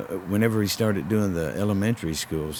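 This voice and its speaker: Noticeable background noise runs beneath a man who speaks fairly quickly, his pitch varying in an ordinary way. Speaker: professional wrestler. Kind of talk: interview answer.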